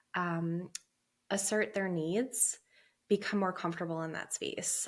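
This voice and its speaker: A woman talks in a fairly low pitch at a fairly slow pace. Her intonation stays flat and monotone. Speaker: perinatal therapist. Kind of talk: interview. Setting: podcast.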